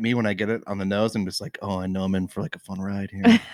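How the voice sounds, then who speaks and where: A man with an American accent talks very fast at a fairly low pitch with ordinary pitch variation, recorded very cleanly against a silent background with a dry, close sound and no echo. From Washington state, Tacoma area. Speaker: brewer. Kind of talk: casual chat. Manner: halting, many fillers.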